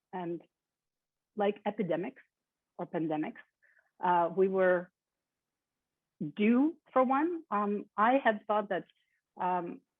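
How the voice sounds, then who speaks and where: Spoken in a Russian accent, the words come at a very slow pace with long, frequent pauses. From born in Kyiv, Ukraine; moved to the US at twelve. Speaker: keynote speaker, lecturer. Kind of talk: keynote lecture. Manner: frequent filler ums.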